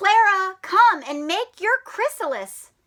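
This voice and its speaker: A woman puts on a squeaky character voice at an extremely high pitch. She goes at a fairly slow pace with lively intonation. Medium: read story. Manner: warm, encouraging.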